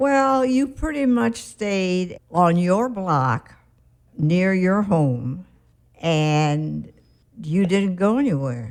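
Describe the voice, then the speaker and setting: A woman speaks at a very slow pace, her pitch swinging very widely while her loudness stays very even. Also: medium pitch for a woman. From Chicago, US Midwest. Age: 90s. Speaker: retired teacher and architect's widow. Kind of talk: oral history interview.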